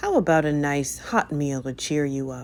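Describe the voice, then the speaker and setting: This put-on character voice is husky and low-to-middle in pitch, moving at a moderate pace. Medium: read story.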